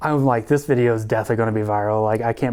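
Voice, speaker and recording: In a Southern US accent, a man speaks at a medium pitch with a dark, mellow tone. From US South. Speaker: youtuber. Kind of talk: testimony interview. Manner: casual, animated.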